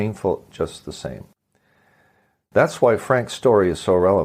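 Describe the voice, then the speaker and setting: A man with a very deep, low voice and a Canadian accent, fairly quick, with lively intonation. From Canada. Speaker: podcast host. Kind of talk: podcast interview.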